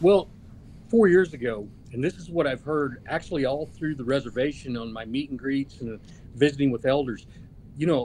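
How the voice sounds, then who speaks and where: In an Oklahoma accent, a man with a fairly high pitch speaks at a moderate pace, showing ordinary pitch variation and big swings in loudness. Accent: Oklahoma American English. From Oklahoma, US (Okmulgee). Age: 60s. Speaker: political candidate. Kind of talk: interview. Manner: halting.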